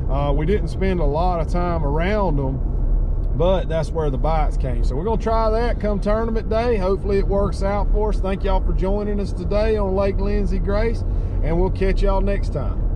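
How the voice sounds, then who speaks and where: A man talks at a moderate pace with hardly any pauses and very even loudness. The sound is dry with no echo, though noticeable background noise is present. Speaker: fishing vlogger. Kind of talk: casual vlog chat. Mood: relaxed, good-humored. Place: car. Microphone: camera far.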